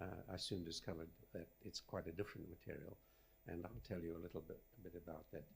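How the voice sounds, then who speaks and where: A man's very deep, low voice with vocal fry and ordinary pitch variation, delivered at a very fast pace between long, frequent pauses. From Zimbabwe, studied in South Africa. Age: 80s+. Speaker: rock engineering professor. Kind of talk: acceptance lecture. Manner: halting.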